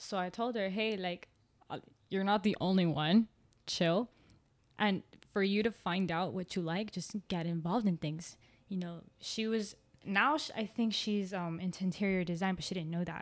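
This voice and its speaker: A woman's medium-pitched voice, with ordinary pitch variation, moves at a moderate pace on a very clean recording with a silent background. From Miami, Florida (Colombian family). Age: 20s. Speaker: graduate student. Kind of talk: casual chat.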